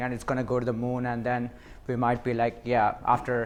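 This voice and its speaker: At a fairly quick pace, a man with a non-native accent talks at a medium pitch. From India. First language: not English. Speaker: cybersecurity speaker. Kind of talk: presentation at a meetup. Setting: meetup with live audience.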